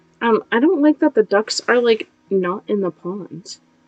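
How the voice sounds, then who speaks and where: A woman with an American accent, fairly high pitch and lively intonation at a fairly slow pace, dry and close with no echo, music in the background. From Boston area, Massachusetts. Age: 20s. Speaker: video game streamer. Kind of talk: casual live-stream chat. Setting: live stream. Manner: animated.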